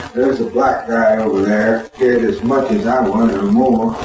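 Over light background noise and audible room echo, a man with an American accent speaks with ordinary pitch variation. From Florida. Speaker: war veteran. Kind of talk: interview answer. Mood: emotional, reliving fear. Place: home room. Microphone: camera far.

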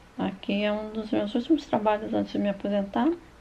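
A woman's medium-pitched, somewhat breathy voice with a dark, mellow tone. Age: 50s. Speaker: YouTuber, retired veterinarian. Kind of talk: personal life story narrated over photos.

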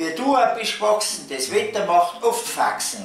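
A man with a high pitch speaks very slowly, his pitch swinging very widely, with audible room echo and faint music in the background. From Tyrol, Austria. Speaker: amateur poetry reciter. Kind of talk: dialect poetry reading. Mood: humorous, gently theatrical. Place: home room.

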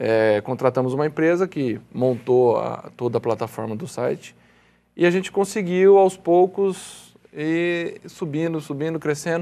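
At a fairly slow pace, a man speaks with a dark, mellow tone, a fairly high pitch, and lively intonation. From Brazil. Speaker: co-founder of rural marketplace website, farmer; interview guest. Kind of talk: TV interview. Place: studio. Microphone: lapel.

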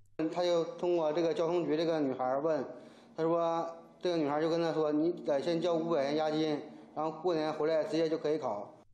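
A man talks at a fairly quick pace in a fairly high pitch with a dark, mellow tone. His intonation is monotone and flat, his loudness very even, and the room echo audible. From Gaizhou, Liaoning, Northeast China; Liaoning. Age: 30s. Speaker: fraud victim, sailor. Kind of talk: interview testimony; interview answer. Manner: halting, repetitive. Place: office.

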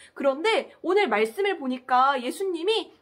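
A woman speaks at an extremely high pitch with very wide pitch swings and an animated tone. The background is quiet. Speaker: children's ministry preacher. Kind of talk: children's sermon. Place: home room.

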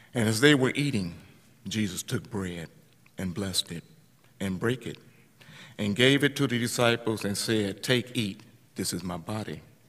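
Over a quiet background, a man with fairly low pitch and ordinary pitch variation speaks at a moderate pace with long, frequent pauses. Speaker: communion leader. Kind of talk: prayer. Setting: church. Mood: solemn, measured. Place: church. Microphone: podium.

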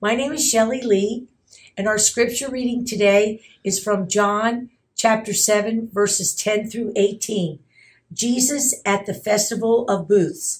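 Against a quiet background, a woman speaks very slowly in a somewhat breathy voice. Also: ordinary pitch variation. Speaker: scripture reader. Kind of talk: scripture reading. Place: church.

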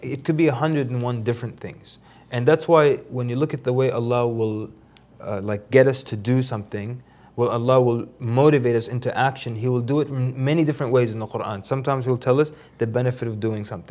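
A man speaks at a fairly quick pace in a dark, mellow tone with fairly even intonation. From grew up around the world, lived in Africa before the US. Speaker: Islamic preacher. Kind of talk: religious talk show interview. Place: studio. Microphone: lapel.

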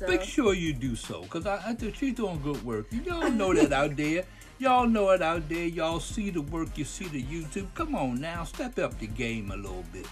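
Over music in the background, a man talks in a playful tone at a moderate pace with hardly any pauses. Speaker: father of the host, guest. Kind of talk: unscripted voiceover banter. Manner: playful, rambling.

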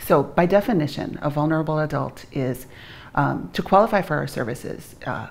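At a moderate pace, a woman with a very deep, low pitch speaks with ordinary pitch variation. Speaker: guest. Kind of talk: interview answer. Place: studio.

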